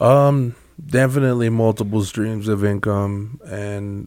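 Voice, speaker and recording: A man with an American accent at a very slow pace. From California. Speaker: community volunteer and small business owner. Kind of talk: casual interview. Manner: halting, many fillers.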